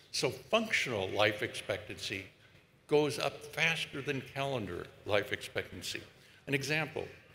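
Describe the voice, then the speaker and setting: Bright and sharp in tone, the speech comes with an American accent, lively intonation and a fairly slow pace, with room echo audible. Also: man. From United States. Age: 80s+. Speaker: epidemiologist. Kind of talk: commencement speech. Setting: stage with audience.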